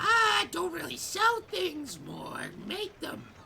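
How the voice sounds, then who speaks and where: An extremely high put-on character voice speaks at a very slow pace. Clear background noise runs underneath. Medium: actual play.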